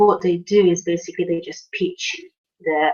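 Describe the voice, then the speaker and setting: A woman with a Polish accent and a fairly low pitch. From Poland. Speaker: online marketing coach. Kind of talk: video tutorial. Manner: halting, many fillers.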